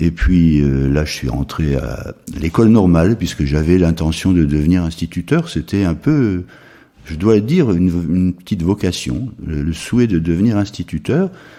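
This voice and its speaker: A man with a very deep, low voice speaks at a moderate pace with lively intonation. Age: 70s. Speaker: retired school headmaster, charity president. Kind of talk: interview. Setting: charity premises.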